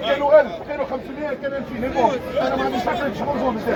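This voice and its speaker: With crowd noise in the background, a man speaks in an animated tone at a very fast pace and an extremely high pitch. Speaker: football fan. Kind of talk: street interview.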